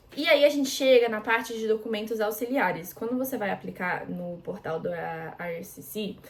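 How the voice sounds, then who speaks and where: Noticeable background noise runs behind a woman with a fairly high voice. Her intonation is lively and her loudness swings widely. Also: moderate pace. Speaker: international student and vlogger. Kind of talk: casual tutorial vlog. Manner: casual, with many fillers.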